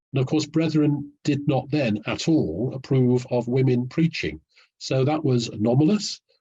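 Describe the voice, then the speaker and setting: Against a quiet background, a man with a dark, mellow, somewhat breathy tone speaks at a moderate pace in a medium pitch with ordinary pitch variation. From English North Midlands, Nottingham. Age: 70s. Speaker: historian. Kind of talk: interview. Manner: articulate with some hesitations.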